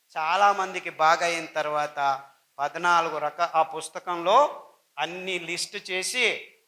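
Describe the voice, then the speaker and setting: In a raised, projected voice with a bright, sharp tone, a man speaks with fairly even intonation. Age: 60s. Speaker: doctor and diet advocate. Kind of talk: health talk / lecture.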